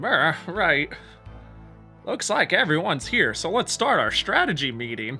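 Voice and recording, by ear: Clear music plays behind a put-on character voice that moves at a fairly slow pace, with very wide pitch swings and long, frequent pauses. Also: man, high pitch for a man.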